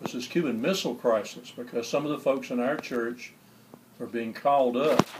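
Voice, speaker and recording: A man with a Southern US accent speaks at a medium pitch amid noticeable background noise. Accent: Southern US (Georgia). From US South, Albany, Georgia. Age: 60s. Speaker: public librarian, church choir member. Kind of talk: interview, personal recollection.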